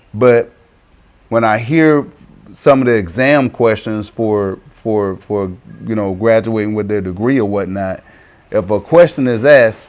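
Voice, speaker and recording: Behind a man's fairly low-pitched voice, music plays in the background. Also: ordinary pitch variation, fairly slow pace. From US South, South Carolina. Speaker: interviewee, expat parent. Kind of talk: interview. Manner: repetitive, stammering restarts.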